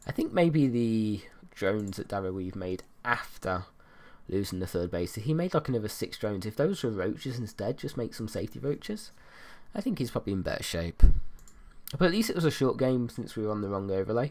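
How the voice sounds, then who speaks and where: Very clean recording with a silent background, featuring a man with a British accent, medium pitch, fairly quick pace and lively intonation. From Britain. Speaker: esports caster. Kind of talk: live commentary. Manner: casual, hesitant with fillers.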